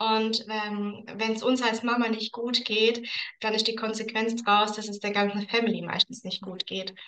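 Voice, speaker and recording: Over noticeable background noise, a woman speaks at a moderate pace in a fairly high, monotone voice with flat intonation. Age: 30s. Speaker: aromatherapy consultant. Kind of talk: casual interview chat.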